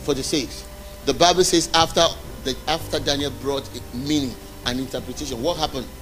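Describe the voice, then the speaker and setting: Noticeable background noise runs under a man's voice. He speaks at a moderate pace and a fairly high pitch. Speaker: preacher. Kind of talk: sermon. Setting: church. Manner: animated.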